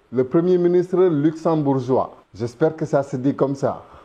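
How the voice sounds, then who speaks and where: With a Senegalese accent, the speaker talks at a fairly slow pace in a dark, mellow tone. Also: man. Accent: Senegalese, pure. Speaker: YouTube commentator. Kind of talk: casual video commentary.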